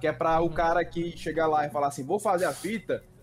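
Here a man talks at a very fast pace. His pitch is high. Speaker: police officer. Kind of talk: casual chat.

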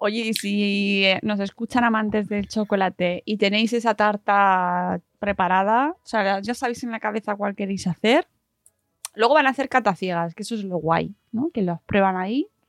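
Over music in the background, a woman speaks at a fairly slow pace in a dry, close sound with no echo. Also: medium pitch for a woman, ordinary pitch variation. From Madrid region, Spain. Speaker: podcast host. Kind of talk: casual chat.

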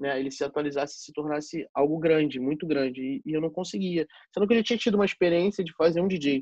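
A man talks at a very fast pace with hardly any pauses, his fairly high pitch showing ordinary variation and big swings in loudness. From Rio de Janeiro, Zona Norte. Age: 20s. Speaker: DJ. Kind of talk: casual chat.

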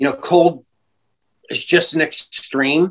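A man speaks with a West Coast US accent. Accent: American (West Coast). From California. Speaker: breathing and performance coach. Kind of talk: interview conversation.

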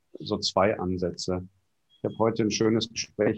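A man speaks against a quiet background. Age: 40s. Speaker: party board member, event technician. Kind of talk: podcast interview.

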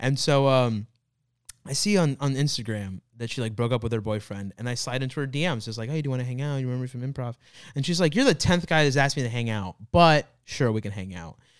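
On a very clean recording with a silent background, a man with an American accent and medium pitch speaks at a very fast pace with ordinary pitch variation. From Florida, US. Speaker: comedian. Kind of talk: casual chat.

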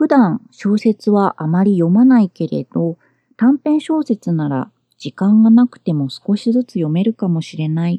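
In a dry, close sound with no echo, a woman speaks at a fairly slow pace with a calm, dark, mellow tone and very wide pitch swings. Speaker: podcast host and freelance translator. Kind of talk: solo podcast talk. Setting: home closet.

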